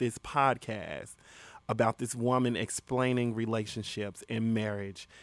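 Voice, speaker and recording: A man's medium-pitched voice at a moderate pace, in a very clean recording with a silent background. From Chicago, west side. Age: 20s. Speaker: rapper and singer. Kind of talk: casual chat.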